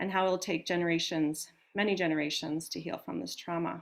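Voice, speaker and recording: A woman speaks in a normal speaking voice with fairly low pitch. Her pace is moderate, with ordinary pitch variation. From Canada, northern Ontario. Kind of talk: webinar hosting introduction. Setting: live online webinar.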